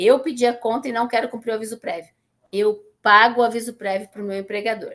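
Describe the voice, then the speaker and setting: Her pitch sits fairly high, and she keeps a fairly quick pace. The woman has a plain, everyday voice. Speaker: teacher. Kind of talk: lecture. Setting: classroom, streamed online.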